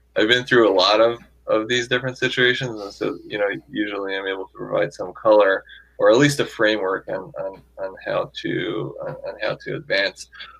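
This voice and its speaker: A man speaks with big swings in loudness. Music plays in the background. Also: moderate pace. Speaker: tech executive and angel investor. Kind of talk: interview. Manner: filler-heavy, repetitive speech.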